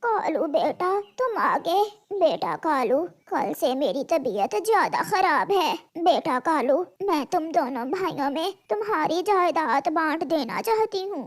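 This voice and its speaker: An extremely high-pitched cartoonish character voice. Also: fairly slow pace. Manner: polite, earnest; soft, caring.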